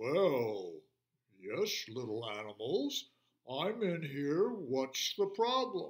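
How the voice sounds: A man puts on a character voice with very wide pitch swings and a fairly high pitch. He speaks at a very slow pace.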